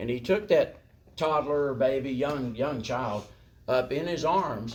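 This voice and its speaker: In a Southern US accent, a man speaks at a fairly slow pace with ordinary pitch variation. Room echo is audible. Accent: US South. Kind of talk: lecture. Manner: animated.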